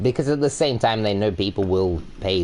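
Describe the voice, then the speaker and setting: Amid noticeable background noise, a man with an Australian accent speaks at a moderate pace with ordinary pitch variation. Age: 20s. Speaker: video game streamer. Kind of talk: casual live-stream gaming chat.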